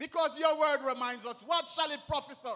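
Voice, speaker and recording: A man's raised, projected voice. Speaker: minister leading prayer. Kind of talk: prayer. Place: church. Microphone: handheld.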